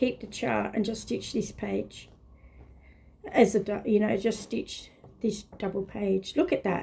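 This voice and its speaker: A fairly high-pitched female voice, dark and mellow in tone, with vocal fry. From northern England. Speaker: craft video host. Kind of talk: casual show-and-tell vlog. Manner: animated.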